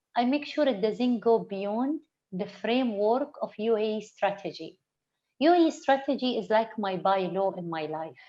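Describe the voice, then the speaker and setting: A woman's dark, mellow voice, fairly high in pitch, with an Arabic accent, lively intonation, a moderate pace, and a quiet background. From UAE. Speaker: interview guest. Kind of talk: online interview. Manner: halting, frequent repetitions.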